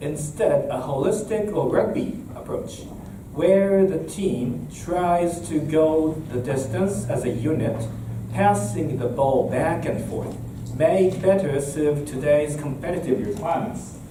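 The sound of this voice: A man at a fairly high pitch and slow pace, with ordinary pitch variation, few pauses and audible room echo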